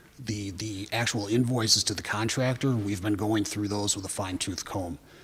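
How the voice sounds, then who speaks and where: This man's voice sits fairly low and sounds somewhat breathy. He talks at a moderate pace with ordinary pitch variation. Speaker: city department official presenting project. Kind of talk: council committee meeting testimony.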